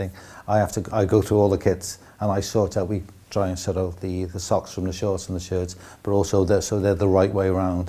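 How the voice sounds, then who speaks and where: A somewhat breathy man with a South Wales accent, very deep and low in pitch, with a dark, mellow tone, monotone, flat intonation and a fairly quick pace. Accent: South Wales (Cardiff). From Wales, Cardiff. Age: 60s. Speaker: football club kit man. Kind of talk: documentary interview. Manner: hesitant, repeats words.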